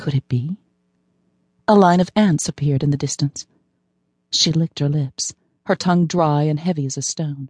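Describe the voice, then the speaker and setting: A woman with a very deep, low pitch and a somewhat breathy voice speaks at a moderate pace with ordinary pitch variation and long, frequent pauses, in a dry, close sound with no echo over a quiet background. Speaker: audiobook narrator. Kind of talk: dramatic audiobook narration, dream sequence, voicing a wounded woman.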